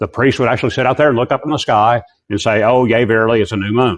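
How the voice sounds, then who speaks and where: A man at a medium pitch and very fast pace, against a quiet background. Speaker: Bible teacher. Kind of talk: lecture.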